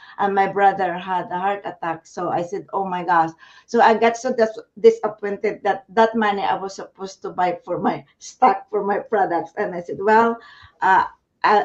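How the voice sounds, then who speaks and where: A woman at a medium pitch, moderate pace, fairly even intonation. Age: 60s. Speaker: business owner. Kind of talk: casual chat. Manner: halting.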